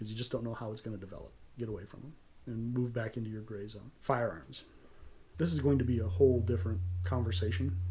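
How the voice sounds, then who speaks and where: In a General American accent, the voice races at a very fast pace, somewhat breathy with a dark, mellow tone, ordinary pitch variation and big swings in loudness. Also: man, fairly low pitch for a man. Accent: fairly non-regional American. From California. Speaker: self-defense channel host. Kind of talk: tutorial.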